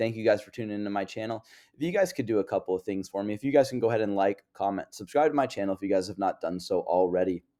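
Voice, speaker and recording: A man with an American accent and a dark, mellow tone speaks at a very fast pace in a very clean recording with a silent background. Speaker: crypto investing YouTuber. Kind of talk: casual market update monologue.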